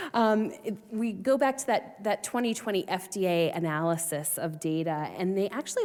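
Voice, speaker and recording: Her intonation lively, a woman talks with a slight Boston accent. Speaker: research scientist. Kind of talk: conference panel discussion.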